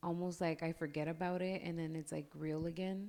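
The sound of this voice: A woman speaks with fairly even intonation, a fairly low pitch and a slightly mellow tone.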